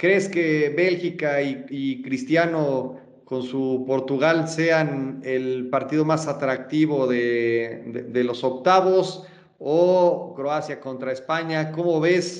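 There is audible room echo as a man with a Mexican accent speaks at a very slow pace. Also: fairly high pitch for a man, ordinary pitch variation. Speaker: podcast host. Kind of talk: casual chat. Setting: studio.

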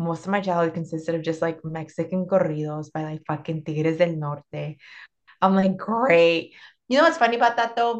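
A woman speaks at a moderate pace in a Spanish accent. Her pitch is fairly low. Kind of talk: casual chat. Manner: animated, joking.

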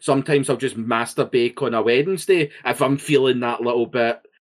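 A man speaks with a Scottish accent. His pitch varies in an ordinary way. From Scotland. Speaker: podcast co-host. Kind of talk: casual chat. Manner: reactive, animated, outbursty.

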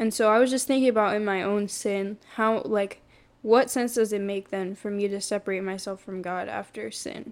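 On a very clean recording with a silent background, a woman uses an ordinary speaking voice at medium pitch, with fairly even intonation and a moderate pace. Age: 20s. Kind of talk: testimony.

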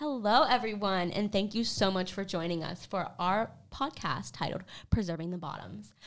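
A woman with an American accent speaks at a medium pitch and a moderate pace, with ordinary pitch variation. It's a plain, everyday voice on a very clean recording with a silent background. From US South, South Carolina (Greenville). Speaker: graduate student, podcast host. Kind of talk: scripted podcast introduction.

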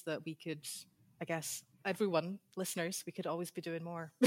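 In a very clean recording with a silent background, a woman with a Scottish accent talks at a fairly quick pace, her fairly low voice flat and monotone. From Scotland. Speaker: PhD candidate, historian. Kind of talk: interview, casual chat.

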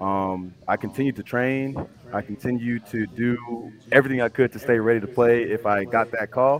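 In a plain, everyday voice, a man speaks at medium pitch and a moderate pace with fairly even intonation. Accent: American. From Houston, Texas. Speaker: pro football player, army officer. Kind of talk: interview.

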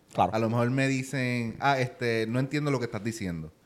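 A man with a Puerto Rican accent, medium pitch, ordinary pitch variation and a fairly quick pace. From Puerto Rico. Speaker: finance YouTuber. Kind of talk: interview. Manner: fast.

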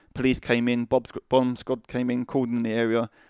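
A man speaks very fast with a British accent, his intonation flat and monotone. The recording is very clean, with a silent background. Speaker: army veteran and charity founder. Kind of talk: casual interview.

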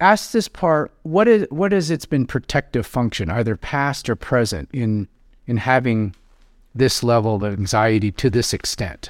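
Recorded very cleanly against a silent background with a dry, close sound and no echo, a man with an American accent speaks at a fairly slow pace in a medium pitch with very wide pitch swings. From US Pacific Northwest, South Seattle. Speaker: psychotherapist. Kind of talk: live therapy session; casual chat.

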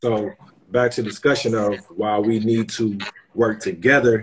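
Speaking at a medium pitch, a man sounds somewhat breathy. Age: 30s. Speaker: guest giving male perspective. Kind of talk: casual chat. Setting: video call.

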